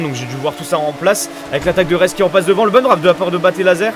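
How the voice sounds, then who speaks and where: Over noticeable background noise, a man talks very fast with ordinary pitch variation. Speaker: sim racing commentator and streamer. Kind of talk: live commentary. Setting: live stream. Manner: hesitant, many fillers.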